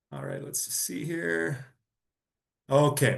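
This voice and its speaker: A somewhat breathy voice in a Canadian accent, at a fairly slow pace. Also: man. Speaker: data strategist. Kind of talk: presentation.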